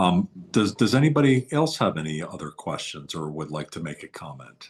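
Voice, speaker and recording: A man with an American accent and a very deep, low pitch talks at a fairly quick pace, with very wide pitch swings and big swings in loudness. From New York, Queens. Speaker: webinar host. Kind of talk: casual chat.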